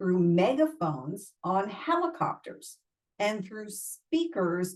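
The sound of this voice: With near silence behind it, an unforced reading voice carries the words.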